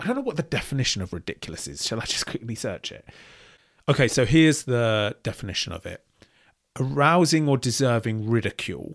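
In a very clean recording with a silent background and a dry, close sound with no echo, a man with an unremarkable speaking voice and medium pitch talks fairly quickly while his loudness swings widely. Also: lively intonation. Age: 30s. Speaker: podcast host reacting to videos. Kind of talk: reaction commentary.

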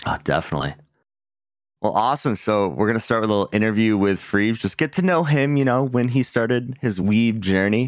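A plain, everyday voice from a man at a medium pitch, fairly quick and lively in intonation, with very even loudness on a very clean recording and a silent background. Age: 30s. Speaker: podcast host. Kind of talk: casual chat.

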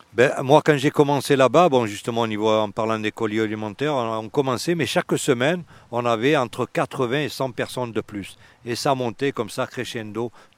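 A man with a plain, everyday voice and medium pitch speaks at a moderate pace with ordinary pitch variation, on a very clean recording with a silent background and a dry, close sound with no echo. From Marseille, France. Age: 60s. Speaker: urban gardener. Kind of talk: casual chat. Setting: outdoors.

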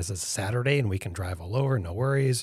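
With an American accent, a man talks at a very fast pace in a somewhat breathy voice with ordinary pitch variation, recorded very cleanly against a silent background. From upstate New York. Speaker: futurist and business founder. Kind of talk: casual interview.

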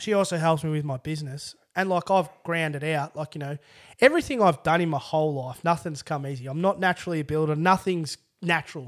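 A man's fairly high voice with an Australian accent, very fast pace and ordinary pitch variation, on a very clean recording with a silent background. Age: 30s. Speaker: construction worker with spinal cord injury. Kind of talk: casual chat.

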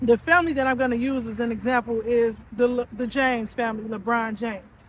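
Fairly high in pitch, a woman talks with fairly even intonation. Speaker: podcast host. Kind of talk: solo monologue. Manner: casual, filler-heavy.

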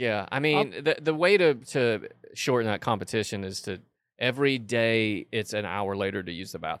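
A man with an unremarkable speaking voice talks at a moderate pace. His pitch is medium and his intonation lively. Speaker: podcast co-host. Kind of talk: comedic casual chat.

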